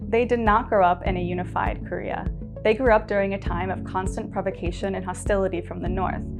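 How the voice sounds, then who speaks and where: Music plays in the background as a woman with an American accent talks at a fairly quick pace. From United States. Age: 20s. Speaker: English teacher. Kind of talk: prepared webinar talk.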